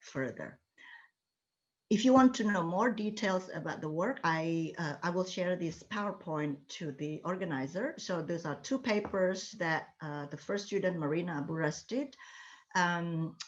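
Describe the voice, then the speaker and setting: A woman with an ordinary speaking voice uses lively intonation at a fairly low pitch and a fairly slow pace. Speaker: architecture professor. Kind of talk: lecture.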